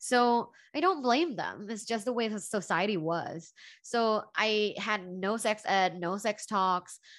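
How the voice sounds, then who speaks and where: A woman with a Thai accent and ordinary pitch variation against a quiet background. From Thailand, Bangkok. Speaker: professor and relationship coach. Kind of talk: podcast interview.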